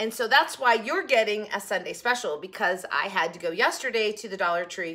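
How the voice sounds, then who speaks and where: Fairly quick speech from a woman. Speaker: haul vlogger. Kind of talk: casual vlog chat. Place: kitchen.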